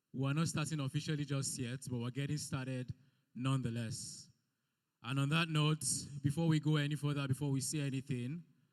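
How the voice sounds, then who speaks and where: In a very clean recording with a silent background, a man talks at a fairly quick pace with a fairly high pitch. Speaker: event MC. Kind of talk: event hosting. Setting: event hall with audience. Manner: loud; animated.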